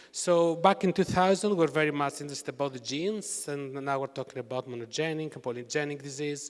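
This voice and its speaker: Speaking at a very fast pace with hardly any pauses, a man with a Greek accent uses a fairly high pitch and ordinary pitch variation. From Greece. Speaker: university researcher. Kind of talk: conference talk.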